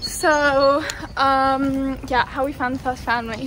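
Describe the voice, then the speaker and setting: Against noticeable background noise, a woman with a British accent speaks in a high pitch at a fairly slow pace with fairly even intonation. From London, England. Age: 20s. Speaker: medical student, vlogger. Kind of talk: casual chat. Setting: outdoors, walking.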